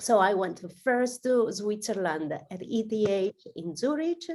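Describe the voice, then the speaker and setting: With an Italian accent, a woman speaks at a moderate pace. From southern Italy. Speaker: AI research director, guest speaker. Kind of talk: webinar talk. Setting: video call.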